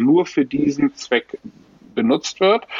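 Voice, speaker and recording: Speaking with lively intonation at a moderate pace, a man is heard against noticeable background noise. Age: 50s. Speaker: management consultant and airline pilot. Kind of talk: interview. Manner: hesitant with frequent fillers.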